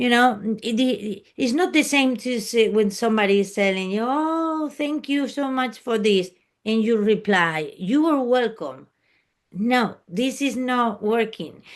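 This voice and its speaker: The voice moves at a fairly slow pace with lively intonation against a quiet background. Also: woman, fairly high pitch for a woman. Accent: Spanish. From Spain. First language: Spanish. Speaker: private jet flight attendant. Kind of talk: interview. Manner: halting.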